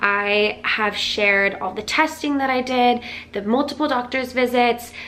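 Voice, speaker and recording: A woman talks in a high voice with ordinary pitch variation. Her pace is fairly slow, and there is noticeable background noise. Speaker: health vlogger and functional medicine coach. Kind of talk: casual vlog.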